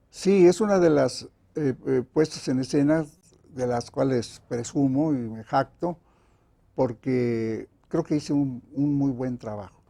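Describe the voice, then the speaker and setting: A man speaks at a very slow pace with a fairly high pitch. His tone is dark and mellow, with ordinary pitch variation. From Mexico City. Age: 80s+. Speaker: playwright. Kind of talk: interview. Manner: halting.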